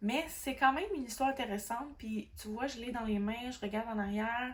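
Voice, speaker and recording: A woman with a Quebec accent, fairly high in pitch, fairly quick in pace, with ordinary pitch variation. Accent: Québécois French. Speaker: book vlogger. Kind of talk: casual book review monologue. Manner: hesitant, many fillers.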